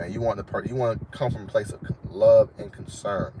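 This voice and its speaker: A fairly quick pace and fairly even intonation over noticeable background noise. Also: man. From Florida. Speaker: dating and confidence coach, live streamer. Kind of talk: casual live stream advice talk. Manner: naturally fast talker; casual, repetitive fillers.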